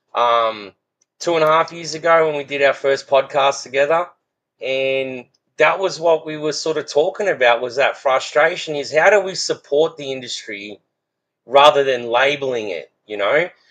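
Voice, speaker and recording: Speaking in an Australian accent, a man with a fairly high pitch keeps a moderate pace and ordinary pitch variation. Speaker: fence business owner. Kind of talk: casual podcast conversation.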